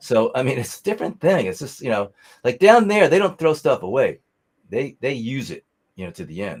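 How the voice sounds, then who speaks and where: An animated man with an American accent speaks fairly quickly at medium pitch, with vocal fry, very wide pitch swings and big swings in loudness. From New York. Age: 70s. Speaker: musician. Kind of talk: casual chat.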